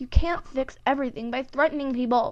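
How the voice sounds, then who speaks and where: Putting on a character voice, a woman speaks at a fairly quick pace with a high pitch. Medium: read story. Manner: timid, stammering.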